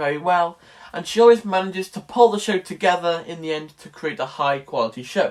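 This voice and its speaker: Talking at a fairly quick pace with a Welsh accent, a man uses a high pitch and ordinary pitch variation. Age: young. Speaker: college student vlogger. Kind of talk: casual vlog. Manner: animated.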